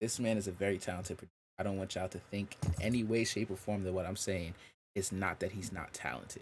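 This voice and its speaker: On a very clean recording with a silent background, a man speaks in an animated tone at a fairly quick pace. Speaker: music artist and podcast host. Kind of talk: casual chat.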